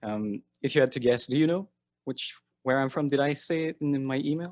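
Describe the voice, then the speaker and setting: Here a man with a French Canadian accent talks at a fairly quick pace. His fairly high pitch shows ordinary pitch variation in a very clean recording with a silent background. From Quebec. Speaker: interviewer. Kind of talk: interview.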